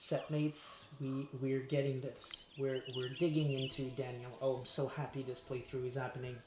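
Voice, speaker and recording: Music plays in the background while a man with a fairly high pitch speaks at a moderate pace. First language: French. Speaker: streamer. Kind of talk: live game stream reading aloud. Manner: animated.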